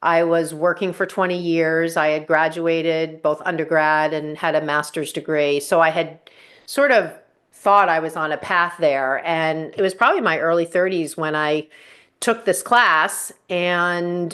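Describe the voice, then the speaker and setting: A woman talks at a fairly slow pace in a normal speaking voice, pitched fairly low with fairly even intonation. The background is quiet. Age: 60s. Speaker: yoga teacher trainer. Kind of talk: podcast interview.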